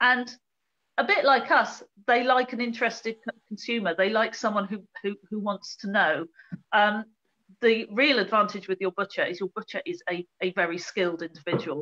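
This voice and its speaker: The tone is bright and sharp, with ordinary pitch variation. Delivery comes at a moderate pace over a quiet background. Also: woman. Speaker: guest. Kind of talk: interview answer. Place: home room. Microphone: video call.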